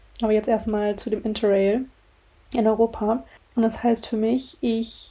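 At a moderate pace, this somewhat breathy voice carries a dark, mellow tone. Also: woman. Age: 20s. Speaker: podcast host. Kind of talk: casual monologue. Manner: animated.

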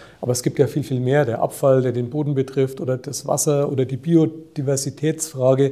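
Speaking at a moderate pace with a slight Franconian accent, a man uses a fairly high pitch and fairly even intonation, his somewhat breathy voice dark and mellow in tone. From Franconia, Germany (Nuremberg). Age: 50s. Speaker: hospital group chief executive. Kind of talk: interview.

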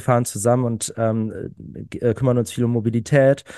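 Against a quiet background, a man of medium pitch with a dark, mellow tone speaks at a moderate pace. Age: 30s. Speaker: climate activist. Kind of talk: casual chat. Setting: online recording before live audience.

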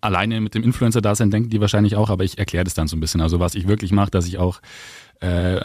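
Recorded very cleanly over a silent background, a man speaks very fast in a fairly low voice with fairly even intonation. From Augsburg, Bavaria. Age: 20s. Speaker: social media influencer. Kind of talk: casual interview. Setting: studio.

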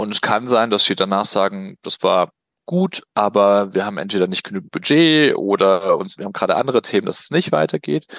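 Lively intonation marks a man's fairly low voice at a fairly quick pace. The sound is dry and close with no echo, over a quiet background. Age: 40s. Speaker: business consultant. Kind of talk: interview. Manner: hesitant, many fillers.

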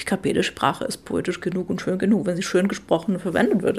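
Her voice sits at a medium pitch and carries vocal fry. The woman's intonation stays fairly even. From Czech Republic, Moravia (Olomouc). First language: Czech (speaking German). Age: 30s. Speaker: poet and translator. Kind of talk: casual interview. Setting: home kitchen.

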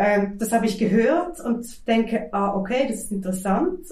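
There is noticeable background noise behind this woman's voice. Her speech also carries audible room echo. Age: 40s. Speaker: teacher and artist. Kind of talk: interview. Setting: at home. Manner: halting.

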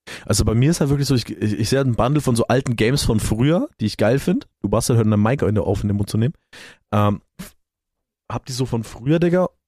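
On a very clean recording with a silent background and a dry, close sound with no echo, a man speaks very fast at a medium pitch, his tone dark and mellow and his pitch variation ordinary. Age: 20s. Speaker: podcast co-host. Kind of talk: casual chat.

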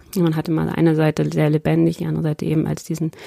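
Speech comes at a very fast pace, dry and close with no echo, over noticeable background noise. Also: woman. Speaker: member of parliament. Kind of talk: interview. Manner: hesitant, many fillers.

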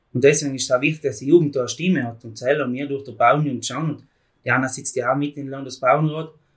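Somewhat breathy and fairly high-pitched, a man speaks at a very fast pace with fairly even intonation and big swings in loudness. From South Tyrol, Italy. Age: 20s. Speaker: farm youth organisation leader. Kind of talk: casual interview.

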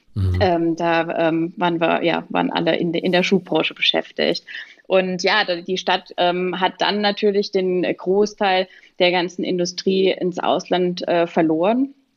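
Speaking at a fairly slow pace, a woman has an ordinary speaking voice, fairly low in pitch, with fairly even intonation and very even loudness. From Pirmasens, Palatinate, Germany. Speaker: shoe manufacturer managing director. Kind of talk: podcast interview.

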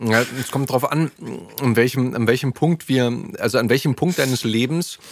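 With an ordinary speaking voice, a man talks at a moderate pace and medium pitch, keeping his intonation fairly even. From Berlin. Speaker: podcast host and voice actor. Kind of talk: casual chat. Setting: studio.

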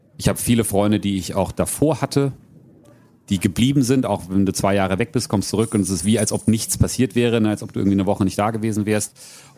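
This man has a dark, mellow tone and a fairly low pitch with ordinary pitch variation. He speaks at a very fast pace. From Frankfurt area, Hesse. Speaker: adventurer and keynote speaker. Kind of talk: live podcast interview. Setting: outdoor event stage with audience.

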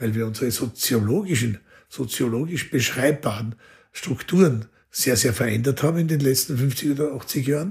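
A man talks at a fairly slow pace with lively intonation and a somewhat breathy voice. His pitch is fairly high. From Austria. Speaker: orchestra conductor and violinist. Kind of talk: interview conversation. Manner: thoughtful, with frequent fillers.

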